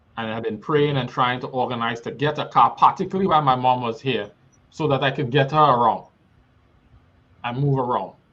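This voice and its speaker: A man with a Trinidadian accent talks at a fairly quick pace in a medium pitch, with ordinary pitch variation and a bright, sharp tone. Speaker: guest speaker. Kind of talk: personal testimony.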